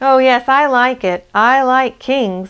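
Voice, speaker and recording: The speaker puts on a character voice at a fairly slow pace. The recording is very clean, with a silent background. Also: female-sounding voice. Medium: read story. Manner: small, timid.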